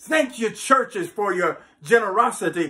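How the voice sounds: Speaking fairly slowly, a man with a high voice and a slightly husky edge uses lively intonation and a fairly bright tone.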